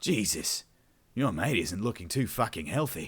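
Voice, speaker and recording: A man puts on a raspy character voice in an Australian accent, medium in pitch with very wide pitch swings. He keeps a moderate pace. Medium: read story. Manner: dry, swearing, casual.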